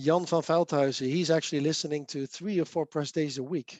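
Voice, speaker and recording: At a moderate pace and fairly high pitch, a man speaks with fairly even intonation, the sound dry and close with no echo over a quiet background. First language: Dutch. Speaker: software developer and speaker. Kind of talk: casual chat.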